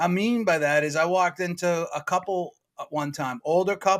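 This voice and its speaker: A high-pitched male voice with a Boston accent and fairly even intonation. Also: very clean recording, silent background. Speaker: real estate agent. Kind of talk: casual chat. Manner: fast.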